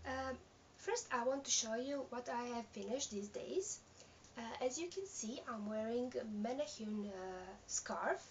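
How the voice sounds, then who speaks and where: A woman with a non-native accent speaks at a fairly slow pace, her high voice carrying lively intonation. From Serbia. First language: Serbian. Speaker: knitting podcaster. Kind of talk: casual video podcast. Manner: halting, many fillers.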